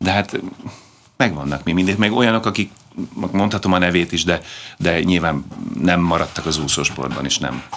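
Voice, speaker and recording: A man with a very deep, low pitch and vocal fry speaks at a moderate pace with ordinary pitch variation. His long, frequent pauses sit over light background noise. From Hungary, Budapest; Hungary. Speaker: former competitive swimmer; guest. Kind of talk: interview. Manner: halting, many fillers. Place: studio.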